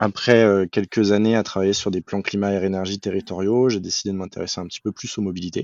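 Using a normal speaking voice, a man talks at a fairly quick pace and a fairly low pitch, with fairly even intonation. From Paris suburbs, France. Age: 30s. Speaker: climate and mobility consultant, engineer. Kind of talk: podcast interview.

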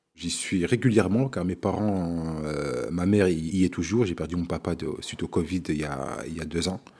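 On a very clean recording with a silent background, a man with a very deep, low pitch and a dark, mellow tone speaks at a moderate pace with ordinary pitch variation and hardly any pauses. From France, Vosges (Remiremont). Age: 40s. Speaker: show programmer and community organizer. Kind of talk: interview testimony. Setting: his production agency office. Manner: hesitant with fillers.

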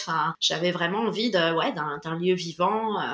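At a fairly slow pace, a woman talks in a normal speaking voice with ordinary pitch variation. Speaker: musician and music teacher. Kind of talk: interview.

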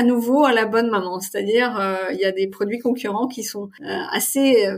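With ordinary rise and fall in her pitch, a woman's fairly high voice carries over noticeable background noise. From Paris region, France. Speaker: marketing manager. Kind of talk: interview. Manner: hesitant, many fillers.

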